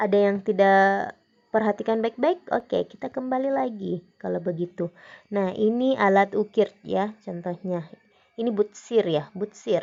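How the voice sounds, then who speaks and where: With a Makassar accent, a woman talks at a fairly slow pace with ordinary pitch variation. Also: medium pitch for a woman. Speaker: teacher. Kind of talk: lecture.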